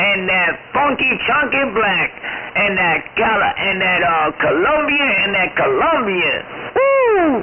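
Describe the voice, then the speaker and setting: Speaking at a very slow pace, a man uses an extremely high pitch with very wide pitch swings and very even loudness. Noticeable background noise runs underneath. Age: 60s. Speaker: CB radio operator. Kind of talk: casual chat.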